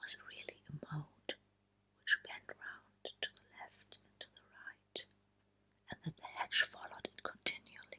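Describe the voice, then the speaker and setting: Whispering at a fairly slow pace, a woman uses a soothing tone. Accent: German. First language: German. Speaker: ASMR creator. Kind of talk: short story reading. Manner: whispered, soothing.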